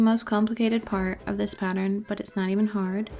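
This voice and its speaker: This woman has an American accent and a fairly high pitch. She talks at a fairly quick pace in a monotone, flat delivery, with music playing in the background. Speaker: crochet designer and tutorial maker. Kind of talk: tutorial. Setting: empty room during a move. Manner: casual, chatty with frequent 'like'. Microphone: new mic cover, echoey empty room.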